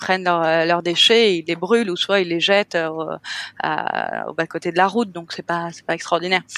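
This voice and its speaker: A woman with a fairly low pitch and fairly even intonation shows big swings in loudness, in a dry, close sound with no echo. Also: moderate pace. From France, Cannes (French Riviera). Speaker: hotel owner, entrepreneur. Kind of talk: podcast interview. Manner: hesitant, many fillers.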